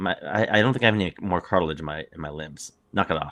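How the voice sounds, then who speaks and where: With an American accent, a man speaks very fast in a very deep, low voice that has a bright, sharp tone. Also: very clean recording, silent background. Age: 40s. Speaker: podcast co-host. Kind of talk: casual chat.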